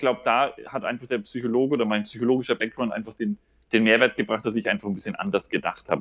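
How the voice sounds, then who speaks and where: A man's medium-pitched voice at a very fast pace. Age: 30s. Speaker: regional development worker with psychology background. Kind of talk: casual interview.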